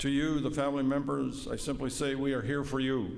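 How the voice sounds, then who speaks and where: A man with a Canadian accent talks at a fairly quick pace in a fairly high pitch, and audible room echo surrounds his voice. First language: Woodland Cree. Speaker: vice-regal representative and police veteran. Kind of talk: formal ceremonial speech. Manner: formal.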